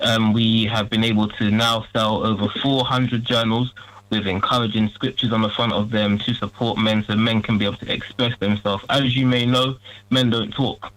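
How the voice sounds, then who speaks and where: A man's medium-pitched, monotone, flat voice at a moderate pace, with very even loudness and noticeable background noise. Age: 20s. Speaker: mental health entrepreneur. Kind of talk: talk show interview.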